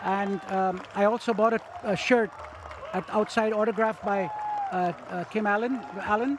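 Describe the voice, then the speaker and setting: Over crowd noise in the background, a man with a high pitch talks at a moderate pace, leaving long, frequent pauses. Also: ordinary pitch variation. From India (Calcutta), Armenian parents. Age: 70s. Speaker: cricket fan. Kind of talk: casual interview. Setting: outdoors at stadium with crowd. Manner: halting.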